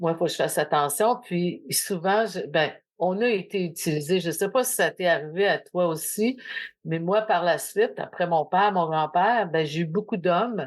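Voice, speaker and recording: A woman's fairly low pitch with ordinary pitch variation and a plain, everyday voice. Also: moderate pace. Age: 60s. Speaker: podcast host. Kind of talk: casual chat.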